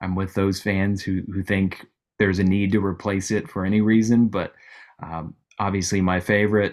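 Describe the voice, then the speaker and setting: Moderate pace from a man with an American accent. His intonation is monotone and flat. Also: very clean recording, silent background. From central Missouri. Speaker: former minor league baseball executive. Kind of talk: casual interview. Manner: halting.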